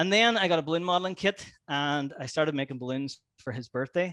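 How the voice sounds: A man's fairly high-pitched, fairly bright voice at a fairly quick pace. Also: ordinary pitch variation.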